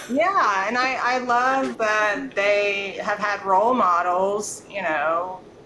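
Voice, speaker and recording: The speech moves at a very slow pace with hardly any pauses, amid audible room echo and noticeable background noise. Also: woman, medium pitch for a woman, ordinary pitch variation. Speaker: podcast host and real estate agent. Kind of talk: casual interview chat.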